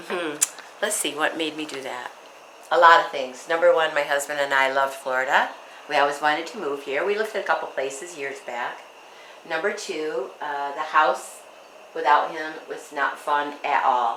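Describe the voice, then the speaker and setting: With audible room echo and noticeable background noise, a woman speaks in an American accent at a moderate pace and a very deep, low pitch, with ordinary pitch variation and big swings in loudness. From Michigan, US Midwest. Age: 70s. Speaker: widow telling her life story. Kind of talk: interview.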